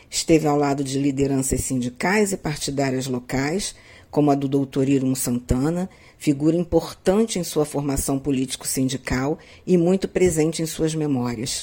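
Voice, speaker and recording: A woman with a very deep, low pitch and a dark, mellow tone speaks at a moderate pace with ordinary pitch variation. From Magé, Rio de Janeiro state, Brazil. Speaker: history professor. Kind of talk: scripted narration.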